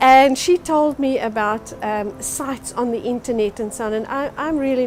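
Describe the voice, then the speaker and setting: Amid noticeable background noise, a woman talks at a moderate pace with hardly any pauses and ordinary pitch variation. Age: 50s. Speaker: social group member. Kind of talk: interview testimony.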